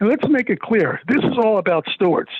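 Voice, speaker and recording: Lively intonation runs through this very fast delivery with an American accent. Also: man. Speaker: property owner speaking at public hearing. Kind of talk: public comment at council meeting. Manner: halting.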